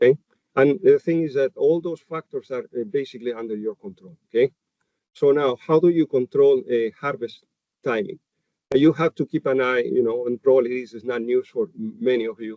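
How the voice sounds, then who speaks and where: A man with a Chilean accent speaks fairly quickly in a medium pitch, with ordinary pitch variation and big swings in loudness. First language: Spanish. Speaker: animal nutritionist. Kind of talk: webinar presentation. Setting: webinar. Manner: halting, many fillers.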